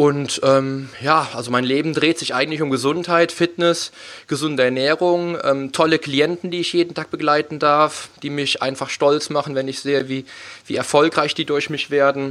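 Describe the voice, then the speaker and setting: In a very clean recording with a silent background, a man with a fairly high voice speaks in a flat monotone. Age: 30s. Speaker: fitness coach and podcast host. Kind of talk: casual interview chat. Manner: halting, many fillers.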